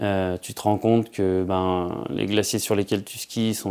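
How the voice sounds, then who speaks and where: The delivery is monotone with flat intonation at a moderate pace. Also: man. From France, Savoie (Alps). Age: 30s. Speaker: professional skier and filmmaker. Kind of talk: interview monologue. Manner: hesitant, with frequent fillers.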